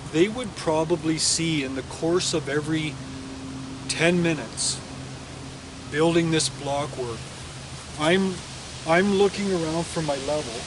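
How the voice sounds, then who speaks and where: A man with a fairly high pitch and ordinary pitch variation speaks with long, frequent pauses, over noticeable background noise and audible room echo. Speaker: mason and toolmaker. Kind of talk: tutorial. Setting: outdoors. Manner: loud; halting.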